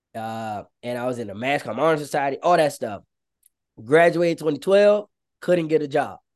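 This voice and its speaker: A man with an American accent speaks in a plain, everyday voice, fairly high in pitch with lively intonation. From Maryland, US (Prince George's County). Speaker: social media manager. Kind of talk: interview storytelling.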